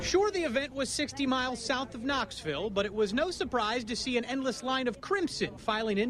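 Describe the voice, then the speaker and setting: With noticeable background noise, a man talks at a fairly quick pace in an extremely high pitch with very wide pitch swings. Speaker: sports anchor and reporter. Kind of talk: TV sports news anchor delivery.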